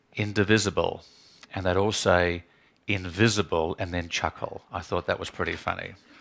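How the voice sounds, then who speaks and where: A man with an Australian accent talks at a moderate pace and a fairly low pitch. His tone is bright and sharp, his intonation monotone and flat. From Australia, Adelaide. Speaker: criminologist and academic. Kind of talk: talk to students.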